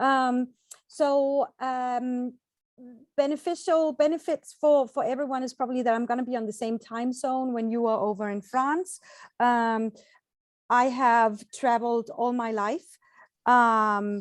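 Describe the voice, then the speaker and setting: Over a quiet background, a woman with a high pitch speaks at a fairly slow pace with ordinary pitch variation. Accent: Danish. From Denmark, Copenhagen. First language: Danish. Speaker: travel agent, tour organizer. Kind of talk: informational presentation. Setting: video call. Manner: hesitant with fillers.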